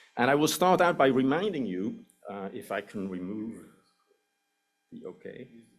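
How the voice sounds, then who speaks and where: Speaking with a Swiss accent at a moderate pace and medium pitch, a man swings very widely in pitch and shows big swings in loudness. He leaves long, frequent pauses. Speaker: anthropology professor. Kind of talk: lecture. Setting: lecture hall with audience.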